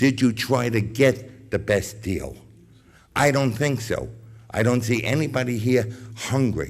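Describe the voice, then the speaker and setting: A man's medium-pitched delivery at a fairly slow pace, a normal speaking voice. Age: 60s. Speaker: business owner, public commenter. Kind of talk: public comment. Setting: school board meeting.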